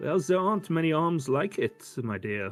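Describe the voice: A man does a gruff put-on character voice at a fairly high pitch, with very wide pitch swings. He talks at a moderate pace with faint music in the background.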